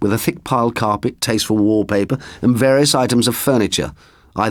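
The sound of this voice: The voice reads in an unforced way. It is an unforced reading voice.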